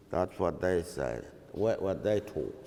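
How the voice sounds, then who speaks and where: A man speaks at a fairly low pitch in a dark, mellow tone. Audible room echo surrounds his voice. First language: Yolngu Matha. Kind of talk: lecture conversation. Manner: halting.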